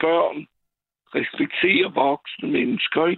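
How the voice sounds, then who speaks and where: A man is speaking. His pace is very slow. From France. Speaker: caller, retired HR worker. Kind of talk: phone-in call. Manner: halting, many fillers.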